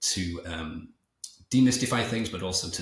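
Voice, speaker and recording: Somewhat breathy and very deep, a man's low voice carries lively intonation. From England, Liverpool. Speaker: entrepreneur and author. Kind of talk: podcast interview. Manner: fast; halting, many repetitions.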